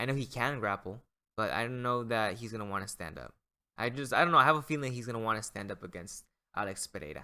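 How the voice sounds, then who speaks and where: Talking at a very fast pace, a man with a medium pitch and ordinary pitch variation has a bright, sharp tone and big swings in loudness, in a very clean recording with a silent background. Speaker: MMA YouTuber. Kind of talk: casual chat.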